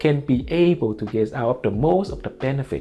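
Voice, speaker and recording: Over noticeable background noise, a man with a Vietnamese accent speaks at a moderate pace in a medium pitch, his intonation lively. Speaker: online marketing educator. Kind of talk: casual tutorial to camera. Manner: informal, many fillers like you know.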